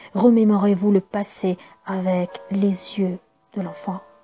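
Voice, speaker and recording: Over music in the background, a woman speaks at a very slow pace in a calm, flat monotone at a medium pitch for a woman. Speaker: voice-over artist. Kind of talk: self-help book reading. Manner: calm, slow.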